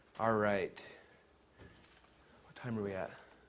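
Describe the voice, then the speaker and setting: A man speaks fairly low in pitch with a monotone, flat delivery. Audible room echo surrounds his voice. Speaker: webinar marketing trainer. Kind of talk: live seminar talk. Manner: very fast.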